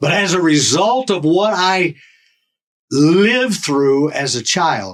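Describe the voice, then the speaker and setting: Speaking at a very slow pace, a man has a high pitch and lively intonation. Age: 60s. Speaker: podcast guest. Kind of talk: interview testimony.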